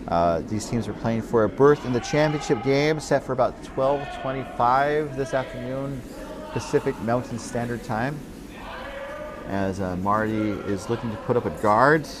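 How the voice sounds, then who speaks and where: A man speaks at a medium pitch and a moderate pace, with ordinary pitch variation. Noticeable background noise runs under his voice. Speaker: curling commentator. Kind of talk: live sports commentary. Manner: hesitant, many filler words.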